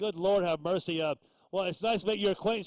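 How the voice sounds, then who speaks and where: A man speaks very fast with an American accent, his pitch high. The sound is dry and close, with no echo. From Texas Hill Country. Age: 60s. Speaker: ham radio operator. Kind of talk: casual chat. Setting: radio transmission. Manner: halting.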